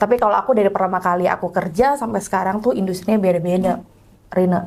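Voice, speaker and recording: A woman's voice at a very fast pace, with ordinary pitch variation. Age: young. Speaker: HR professional. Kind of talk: casual interview.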